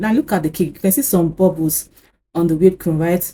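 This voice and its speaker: Speaking fairly quickly, a woman has a fairly low, dark, mellow voice that is somewhat breathy, with ordinary pitch variation. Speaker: cake decorating YouTuber. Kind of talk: tutorial.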